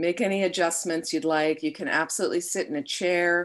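A woman talks at a fairly slow pace with a fairly low pitch. The background is quiet. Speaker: meditation teacher. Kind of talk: guided meditation. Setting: online live stream. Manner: slow, soothing, calm. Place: home room. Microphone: webcam.

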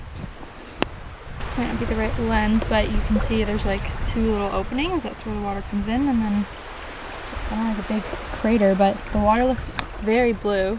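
At a moderate pace, a woman speaks with fairly even intonation in a dry sound with no echo, against noticeable background noise. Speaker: travel vlogger. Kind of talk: casual vlog chat. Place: open country. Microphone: phone near.

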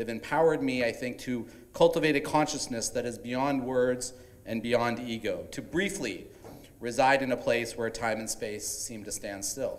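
A man's speech moves at a moderate pace, its pitch varying in an ordinary way. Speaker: event host. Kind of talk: welcome speech. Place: hall. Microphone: handheld.

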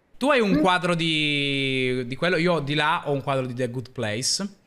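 The man's voice is fairly high, with a bright, sharp tone. He speaks at a fairly slow pace. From Piedmont, northern Italy (Pinerolo); Piedmont, Italy. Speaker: streamer. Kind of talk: casual chat. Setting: live stream. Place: home room. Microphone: studio mic.

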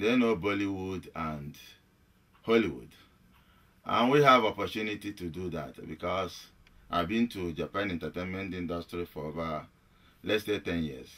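A man speaks with a very deep, low pitch. He leaves long, frequent pauses. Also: ordinary pitch variation, moderate pace. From Nigeria. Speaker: actor and film director. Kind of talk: radio interview. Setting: radio studio. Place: home room. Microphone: headset.

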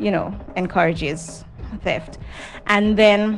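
Against light background noise, a woman talks at a fairly slow pace with ordinary pitch variation. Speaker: guest. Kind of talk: interview answer. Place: studio. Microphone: handheld.

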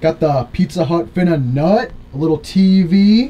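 A man's fairly high voice with a dark, mellow tone, lively intonation, a fairly slow pace and faint background noise.

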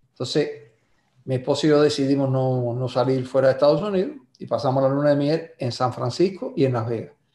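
A man's fairly high voice at a fairly quick pace, with fairly even intonation and audible room echo. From Cuba, Cárdenas (Matanzas); Cuba. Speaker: songwriter; guest. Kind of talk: interview. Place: home room. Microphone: video call.

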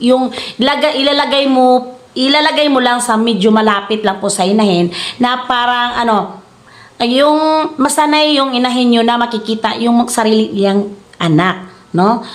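A high-pitched woman with a Philippine accent, at a moderate pace with ordinary pitch variation and very even loudness, with audible room echo. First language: Cebuano (speaking Tagalog). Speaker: YouTuber and hog farmer. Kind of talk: casual tutorial vlog. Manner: halting, stumbling over words; laughs often.

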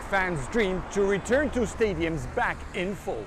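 A man speaks at a high pitch, his voice swinging widely up and down.

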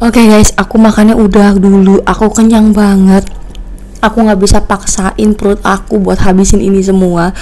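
Delivery is at a moderate pace. The intonation is monotone and flat. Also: woman. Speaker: mukbang vlogger. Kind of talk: casual vlog chat. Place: home room. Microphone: phone near.

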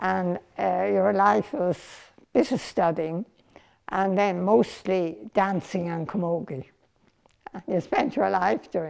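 A woman speaks with an Irish accent in a fairly low voice, her intonation lively. Her pace is very slow, broken by long, frequent pauses. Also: quiet background. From Ireland. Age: 80s+. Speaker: documentary interviewee. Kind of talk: documentary interview answer. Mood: reflective, reminiscing. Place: home room. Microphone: lapel.

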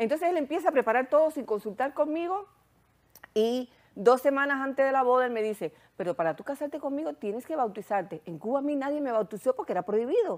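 A woman's high-pitched voice at a very fast pace, with very wide pitch swings, over a quiet background. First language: Hungarian (speaking Spanish). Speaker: therapist and sexologist; guest. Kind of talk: testimony. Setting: studio. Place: studio.

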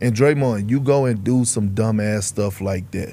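A man with a normal speaking voice and an American accent, at a fairly slow pace with ordinary pitch variation. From Texas, Beaumont. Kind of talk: casual chat. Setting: studio.

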